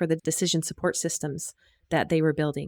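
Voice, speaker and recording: A woman with an American accent has a plain, everyday voice. The sound is dry and close with no echo, on a very clean recording with a silent background. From US. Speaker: health informatics professor. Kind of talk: casual interview.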